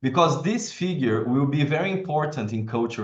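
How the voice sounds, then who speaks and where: This man's voice is somewhat breathy. He speaks at a moderate pace with lively intonation. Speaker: professor and event moderator. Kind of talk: interview. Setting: video call.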